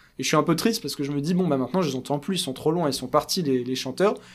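The recording is very clean, with a silent background. A man talks in a fairly high pitch with ordinary pitch variation. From France, Paris. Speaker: kabbalist thinker and writer. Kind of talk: interview, explaining ideas.

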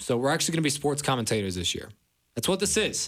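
With an American accent and vocal fry, a man talks very fast with very wide pitch swings in a very clean recording with a silent background. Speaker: college radio sports host. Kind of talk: casual sports talk radio. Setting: studio, live radio.

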